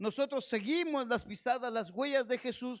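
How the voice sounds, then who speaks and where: Extremely high-pitched, a man talks at a moderate pace. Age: 50s. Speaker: pastor. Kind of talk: sermon.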